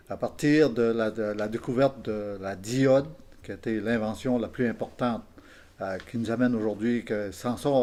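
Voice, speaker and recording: At a moderate pace, a man of medium pitch speaks in a dark, mellow tone with fairly even intonation. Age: 70s. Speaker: retired electrician. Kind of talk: interview with youths. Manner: halting.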